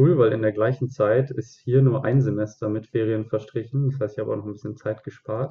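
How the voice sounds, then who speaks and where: A man with an ordinary speaking voice talks at a medium pitch and a moderate pace, keeping his intonation fairly even. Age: 20s. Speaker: student teacher. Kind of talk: casual interview.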